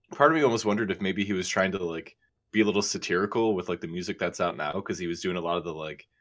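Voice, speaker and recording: On a very clean recording with a silent background, a man with a very deep, low pitch speaks at a very fast pace and fairly even intonation. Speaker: podcast co-host.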